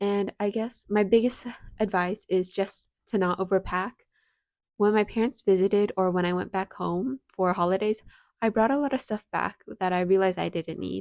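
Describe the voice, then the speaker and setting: In a plain, everyday voice at medium pitch, a woman talks at a moderate pace with fairly even intonation, the sound dry and close with no echo. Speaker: university student. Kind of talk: casual advice talk to camera.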